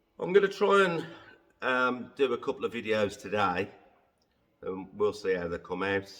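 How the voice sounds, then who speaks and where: A man talks rather slowly in an English accent. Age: 60s. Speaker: car detailer. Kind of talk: casual vlog monologue. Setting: workshop. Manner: hesitant, many fillers.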